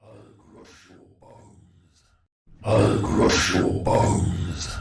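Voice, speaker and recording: In a put-on character voice, a man talks at a very slow pace with a slight echo. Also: fairly low pitch for a man. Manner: menacing.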